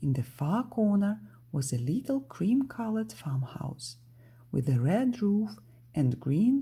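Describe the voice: Here someone is doing plain reading aloud.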